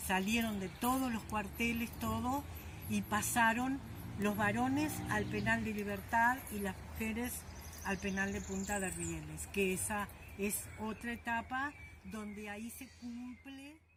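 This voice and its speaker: A woman's fairly slow speech with audible room echo. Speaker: former political prisoner. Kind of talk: testimony. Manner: halting.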